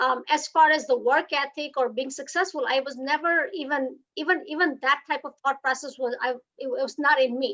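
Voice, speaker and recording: Speaking in a Gujarati accent with hardly any pauses, a woman uses a high-pitched voice with a bright, sharp tone. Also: ordinary pitch variation, moderate pace. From India, Gujarat (Surat). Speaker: hotelier and business leader. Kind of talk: speech at online book launch. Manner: halting, many fillers.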